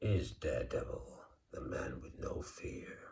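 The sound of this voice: A man puts on a growling character voice and speaks at a fairly slow pace.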